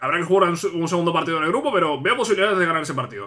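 Very wide pitch swings in a raised, projected voice at a very fast pace. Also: man. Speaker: gaming youtuber. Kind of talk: casual gameplay commentary. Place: home room.

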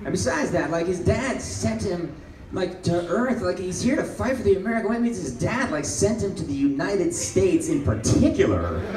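Over noticeable background noise, a man with a high voice talks at a fairly quick pace and swings his pitch very widely. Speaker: stand-up comedian. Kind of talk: stand-up comedy set. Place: stage.

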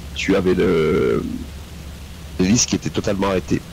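A man's voice with a very deep, low pitch. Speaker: flight sim squadron pilot. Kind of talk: radio-style flight calls. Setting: voice chat.

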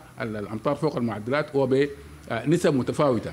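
With light background noise behind him, a man talks at a fairly high pitch with lively intonation. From Sudan. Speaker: meteorology official. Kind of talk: press conference briefing. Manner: halting, many pauses. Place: hall. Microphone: podium.

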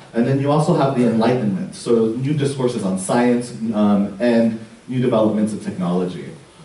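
Audible echo fills the room. The pitch shows ordinary variation. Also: man. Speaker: art history professor. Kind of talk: lecture. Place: hall.

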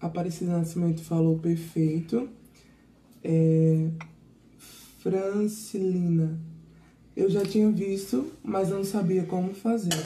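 A somewhat breathy woman speaks at a very slow pace with ordinary pitch variation. She takes long, frequent pauses. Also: fairly low pitch for a woman. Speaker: assistant reading viewer comments. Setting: live stream.

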